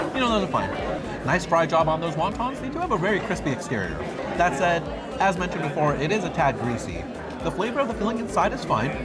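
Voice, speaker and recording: A man talks at a very fast pace. Crowd noise can be heard behind him. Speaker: food vlogger. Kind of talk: food review commentary. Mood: cheerful, enthusiastic. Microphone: phone near.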